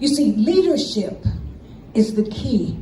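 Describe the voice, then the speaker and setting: A woman with a fairly high pitch and an American accent, very slow and with lively intonation, amid audible room echo and noticeable background noise. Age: 70s. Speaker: invited speaker at an assembly. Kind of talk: public speech. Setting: stage with audience. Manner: animated.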